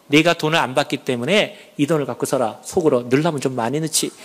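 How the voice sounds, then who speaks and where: Noticeable background noise fills the recording. Through it, a man speaks at a fairly quick pace. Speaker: church elder giving testimony. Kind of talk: testimony. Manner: animated.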